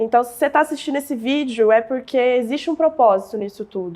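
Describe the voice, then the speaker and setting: A high-pitched woman's voice at a fairly quick pace, with ordinary pitch variation. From southern Minas Gerais, Brazil. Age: 20s. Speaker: digital marketing entrepreneur. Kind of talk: podcast interview, personal life story.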